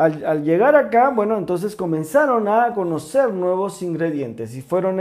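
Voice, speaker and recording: The speech moves at a fairly slow pace against a quiet background. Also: man. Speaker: presenter. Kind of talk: cooking show history explanation. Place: kitchen.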